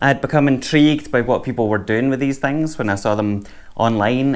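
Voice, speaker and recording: A Scottish accent with ordinary pitch variation. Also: man. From Scotland. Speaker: music gear youtuber. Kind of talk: product review. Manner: casual.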